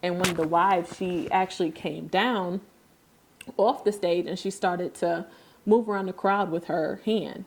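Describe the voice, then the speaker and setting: A woman's fairly low voice, an ordinary speaking voice. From upstate New York. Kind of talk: podcast conversation.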